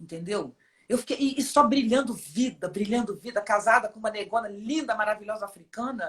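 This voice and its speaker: With a normal speaking voice, a woman uses a fairly high pitch and ordinary pitch variation while talking at a fairly quick speed. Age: 50s. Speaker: philosopher and poet. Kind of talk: interview conversation.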